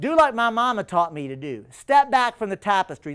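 A man with an American accent speaks high for a man, in an animated tone with very wide pitch swings. His pace is moderate, and the background is quiet. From Texas. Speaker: attorney and political organizer; speaker. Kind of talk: public lecture. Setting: stage with live audience. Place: classroom.

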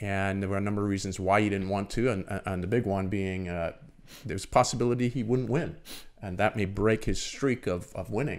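Fairly even intonation accompanies a fairly quick pace. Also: man, fairly low pitch for a man. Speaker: swim and triathlon coach. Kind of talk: casual chat. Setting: studio. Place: studio. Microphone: studio mic.

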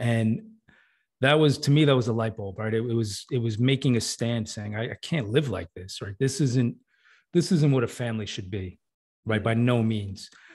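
A man speaks at a medium pitch and moderate pace, somewhat breathy, with ordinary pitch variation. The background is quiet. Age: 40s. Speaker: fatherhood coach. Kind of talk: casual chat.

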